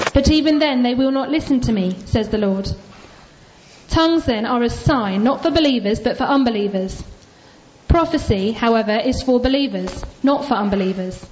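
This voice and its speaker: A woman talks at a moderate pace with a high pitch and ordinary pitch variation. Noticeable background noise sits behind her. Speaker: congregation member reading scripture. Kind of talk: reading aloud. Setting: church.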